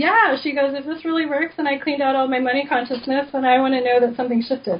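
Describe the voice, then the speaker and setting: Noticeable background noise sits behind a woman with a high pitch. She speaks very fast with ordinary pitch variation. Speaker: energy healer, author. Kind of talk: radio interview. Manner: casual, filler-heavy.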